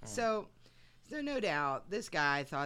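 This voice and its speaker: A woman speaks with a husky voice. It is also raspy. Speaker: podcast host narrating history.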